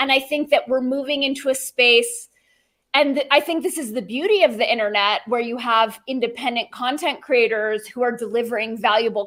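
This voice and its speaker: A woman with a Southern California accent speaks in a high voice at a moderate pace, with ordinary pitch variation, on a very clean recording with a silent background. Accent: Valley girl. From California, San Fernando Valley. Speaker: podcaster, former journalist. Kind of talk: casual interview chat.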